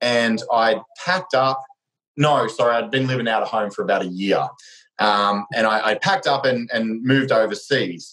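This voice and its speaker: A man with an Australian accent speaks at a medium pitch and a moderate pace. His intonation is lively and his loudness stays very even. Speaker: strength coach and former Olympic swimmer. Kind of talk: casual chat.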